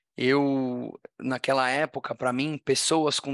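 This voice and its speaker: With a bright, sharp tone and fairly high pitch, a man speaks at a fairly slow pace with ordinary pitch variation in a dry, close sound with no echo. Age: 40s. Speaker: tech entrepreneur and social impact founder. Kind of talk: interview conversation.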